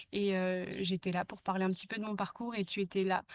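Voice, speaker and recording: At a fairly quick pace, a woman speaks at medium pitch in a monotone, flat way, captured in a dry, close sound with no echo. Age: 20s. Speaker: podcast host. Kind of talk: interview. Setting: outdoors in a garden. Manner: hesitant, many fillers.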